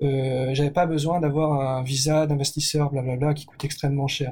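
Somewhat breathy, with a dark, mellow tone, a man speaks at a moderate pace in a fairly high pitch and fairly even intonation. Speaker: entrepreneur. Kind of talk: interview. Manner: hesitant.

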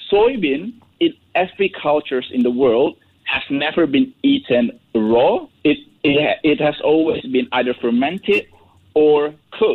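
A man with a fairly high pitch speaks at a fairly slow pace. His pitch swings very widely while his loudness stays very even. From Indonesia. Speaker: nutrition researcher. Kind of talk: radio interview. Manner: halting.

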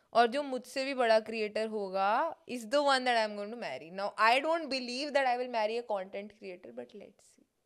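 Pitched fairly high, a woman speaks at a moderate pace with ordinary pitch variation and big swings in loudness. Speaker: comedian and content creator. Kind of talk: casual chat. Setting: studio.

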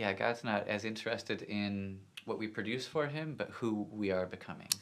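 Fairly low in pitch, a man speaks at a moderate pace. It is an ordinary speaking voice. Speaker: podcast host. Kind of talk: casual interview chat.

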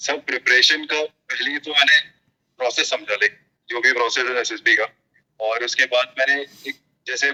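A man speaks at a moderate pace with long, frequent pauses in a dry, close sound with no echo. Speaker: army officer cadet. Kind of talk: casual interview chat.

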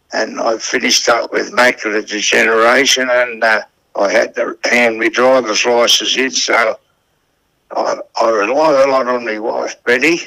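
A man with a strong Australian accent at a moderate pace. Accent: broad Australian. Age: 80s+. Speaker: greyhound trainer. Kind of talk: casual interview. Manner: halting.

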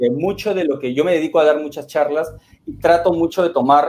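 A fairly high-pitched man speaks at a fairly quick pace. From Peru, Lima. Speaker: listener calling in, public speaker. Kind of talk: casual chat.

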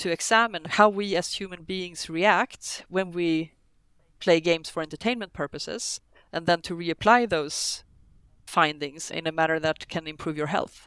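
The woman's pitch is fairly low. It's a very clean recording, silent background. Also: ordinary pitch variation, moderate pace. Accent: Swedish. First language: Swedish. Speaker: business developer. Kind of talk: casual chat.

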